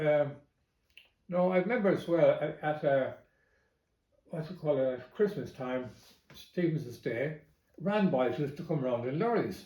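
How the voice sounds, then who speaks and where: With an Irish Midlands accent, a man speaks at a fairly slow pace with long, frequent pauses, in a somewhat breathy, fairly high voice of dark, mellow tone and lively intonation, with audible room echo. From Ireland, County Longford. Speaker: family member recalling memories. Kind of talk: oral history interview. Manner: halting, with fillers.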